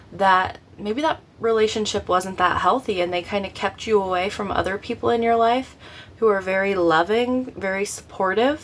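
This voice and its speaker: The pace here is moderate. It is a plain, everyday voice whose pitch varies in an ordinary way. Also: woman. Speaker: tarot reader. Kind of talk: tarot reading. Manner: casual, filler-heavy.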